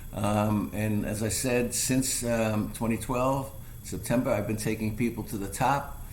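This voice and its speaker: Someone with an American accent speaks at a fairly slow pace, with audible room echo. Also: man. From New York. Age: 70s. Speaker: hiking guide and photographer. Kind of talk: interview. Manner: halting, many fillers.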